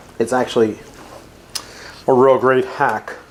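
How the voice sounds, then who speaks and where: An American man talks at a moderate pace and medium pitch, his intonation fairly even, while noticeable noise sits in the background. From New Jersey. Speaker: chef. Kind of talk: cooking tutorial. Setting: home kitchen. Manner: casual, jokey.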